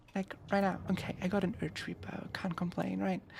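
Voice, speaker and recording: A woman with a non-native accent speaks at a moderate pace and a medium pitch. Her delivery is flat and monotone, with vocal fry. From Germany. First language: not English. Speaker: VTuber streamer. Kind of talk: live gaming stream chat.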